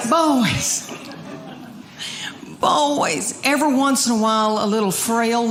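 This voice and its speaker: A woman with a Southern US accent speaks very slowly in a fairly high voice, with long, frequent pauses. Her loudness stays very even over noticeable background noise. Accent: Southern American. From Southern United States. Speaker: stand-up comedian. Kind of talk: live stand-up comedy set.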